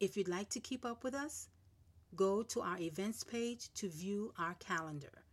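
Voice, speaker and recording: Using an unremarkable speaking voice at medium pitch, a woman talks at a moderate pace with lively intonation. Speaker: ministry host. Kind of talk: closing announcement and call to action.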